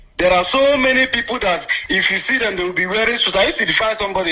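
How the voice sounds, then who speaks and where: In a raised, projected voice, a man with a Nigerian accent speaks at a very fast pace over noticeable background noise. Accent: Nigerian Igbo English. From Nigeria, Anambra State. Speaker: radio call-in listener. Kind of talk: phone-in call.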